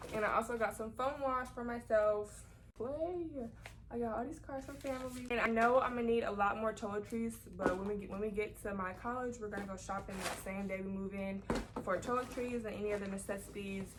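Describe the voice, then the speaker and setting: A woman's fairly high voice at a fairly quick pace, with ordinary pitch variation and noticeable background noise. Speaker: vlogger. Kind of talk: casual haul video. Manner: fast. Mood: relaxed, a bit shy. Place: home room. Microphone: phone near.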